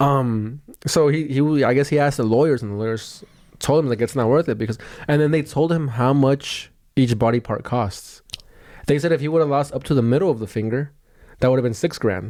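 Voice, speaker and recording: Mumbling at a fairly quick pace, a man speaks in a dark, mellow tone with ordinary pitch variation. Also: medium pitch for a man. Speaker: podcast host and comedian. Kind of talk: casual chat. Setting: childhood bedroom. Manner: fast.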